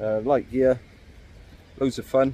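Slow and dark, a man's voice carries a mellow tone at a medium pitch. His speech has little pitch movement.

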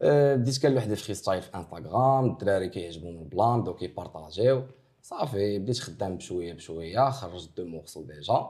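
Against a quiet background, a man talks at a fairly quick pace with hardly any pauses, his fairly low voice dark and mellow, with lively intonation and big swings in loudness. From Morocco. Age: 20s. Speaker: rapper; interviewee. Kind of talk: interview. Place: office.

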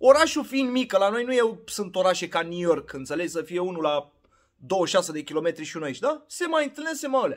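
In an animated tone, this voice moves at a fairly quick pace with very wide pitch swings against a quiet background. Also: man, high pitch for a man. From Romania. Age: 30s. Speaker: vlogger. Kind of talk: casual vlog monologue. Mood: opinionated, ranting. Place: home room. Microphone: phone near.

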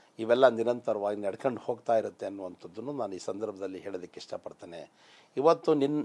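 A man with lively intonation. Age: 50s. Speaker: politician. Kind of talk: interview. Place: studio. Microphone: lapel.

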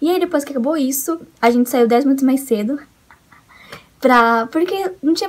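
At a fairly quick pace, a woman with a high pitch speaks in an animated tone with ordinary pitch variation. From Brazil. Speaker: vlogger, international student; vlogger. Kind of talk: casual vlog. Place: home room. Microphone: webcam.

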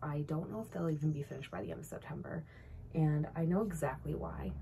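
A woman speaks at a moderate pace. There is light background noise. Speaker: knitting vlogger. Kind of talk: casual vlog chat. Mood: cheerful, relaxed. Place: home room. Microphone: phone near.

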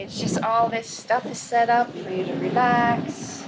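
A woman talks at a medium pitch over faint background noise.

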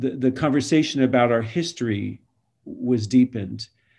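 A man speaks at a medium pitch in a dark, mellow tone with fairly even intonation. The background is quiet. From Florida, born in Montreal; Florida. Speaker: university president and priest; priest. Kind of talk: panel discussion. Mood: earnest, reflective. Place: home room. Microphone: video call.

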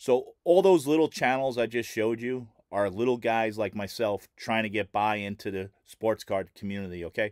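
A man talks at a moderate pace with hardly any pauses and ordinary pitch variation. The sound is dry with no echo, over a quiet background. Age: 50s. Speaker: sports card collector and YouTuber; sports card YouTuber. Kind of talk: casual vlog talk to camera. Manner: halting, filler-heavy. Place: home room. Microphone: webcam.

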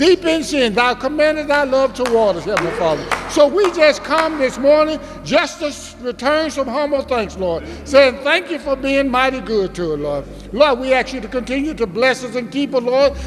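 Against music in the background, a man with an extremely high pitch talks at a moderate pace with hardly any pauses. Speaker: church member leading prayer. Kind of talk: prayer. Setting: church. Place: church. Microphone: podium.

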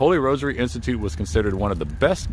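The man talks at a fairly quick pace. His sound is dry with no echo, over light background noise. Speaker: urban explorer vlogger. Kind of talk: casual vlog narration, reading a sign. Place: open country. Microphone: phone near.

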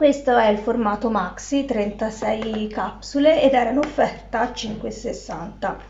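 A very slow delivery with hardly any pauses, ordinary pitch variation, light background noise and audible room echo. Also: woman, fairly high pitch for a woman. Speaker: vlogger and stay-at-home mom; vlogger. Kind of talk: casual vlog talk to camera.

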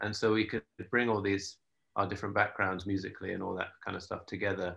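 A man with a southern English accent at a fairly quick pace, fairly low pitch and monotone, flat intonation, over a quiet background. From London. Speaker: musician and producer. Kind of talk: interview. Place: home room. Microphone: video call.

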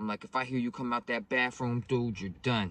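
Dry and echo-free, a man's voice moves at a moderate pace. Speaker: vlogger telling a story. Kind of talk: casual storytelling vlog. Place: car. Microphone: phone near.

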